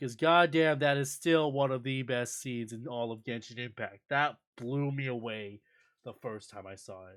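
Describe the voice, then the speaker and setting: A man mumbles at a medium pitch and a moderate pace. His pitch varies in an ordinary way. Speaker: streamer. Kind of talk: live stream commentary. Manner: mumbling; animated.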